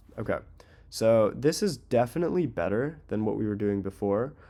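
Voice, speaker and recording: An unremarkable speaking voice at a moderate pace, captured in a very clean recording with a silent background. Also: man. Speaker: web design tutorial creator. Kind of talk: tutorial. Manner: casual, filler-heavy.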